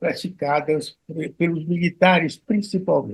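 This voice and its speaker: A man at a fairly slow pace. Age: 80s+. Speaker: criminal defense lawyer. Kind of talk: interview testimony. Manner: halting, many repetitions.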